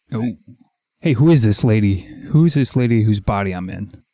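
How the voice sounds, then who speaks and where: Using a put-on character voice, a man speaks gravelly and medium-pitched at a moderate pace. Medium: actual play.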